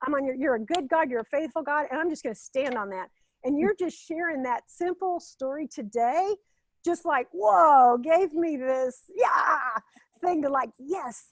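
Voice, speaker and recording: In a dry, close recording with no echo, a woman with a high pitch speaks at a moderate pace, her intonation lively and her tone animated and passionate. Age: 60s. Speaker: former pastoral care director and health coach. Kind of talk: interview conversation, faith testimony. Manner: animated, passionate.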